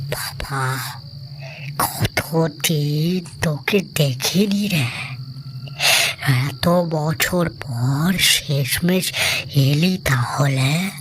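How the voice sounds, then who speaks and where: A put-on character voice at a very slow pace, over clear background noise. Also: man, fairly high pitch for a man. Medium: read story. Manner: friendly, casual, coaxing.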